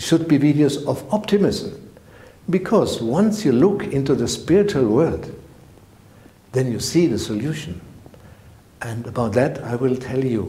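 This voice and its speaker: A man's German-accented voice, fairly slow with lively intonation, in audible room echo. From Germany. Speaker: spiritual teacher. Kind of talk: direct-to-camera channel introduction. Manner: halting, non-native phrasing.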